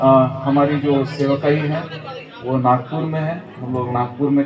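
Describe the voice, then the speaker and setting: Crowd noise and audible room echo surround a man's voice. He speaks at a fairly high pitch with fairly even intonation. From Nagpur, central India. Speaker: pastor. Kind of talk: sermon. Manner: hesitant fillers.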